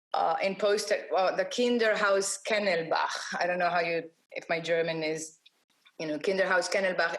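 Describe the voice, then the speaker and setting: A woman speaks at a moderate pace with a fairly low pitch. Her intonation is fairly even. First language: not English. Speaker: graphic designer, awards jury president. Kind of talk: interview. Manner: halting, many false starts.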